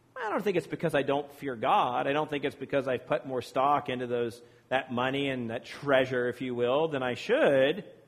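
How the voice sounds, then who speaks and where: This man has an ordinary speaking voice, fairly high in pitch, with ordinary pitch variation. He keeps a moderate pace with hardly any pauses. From Virginia. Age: 40s. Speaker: priest. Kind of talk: sermon. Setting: church.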